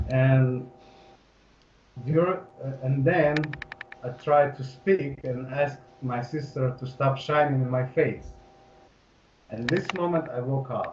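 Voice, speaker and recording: A man speaks at a very slow pace with long, frequent pauses, at a medium pitch and with fairly even intonation. Noticeable background noise and audible room echo surround him. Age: 30s. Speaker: hypnosis client. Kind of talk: personal testimony. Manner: halting.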